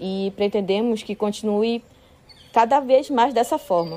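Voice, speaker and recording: A woman at a fairly slow pace, fairly high in pitch with ordinary pitch variation, over music in the background. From northwestern Amazonas, Brazil (São Gabriel da Cachoeira). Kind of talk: personal testimony.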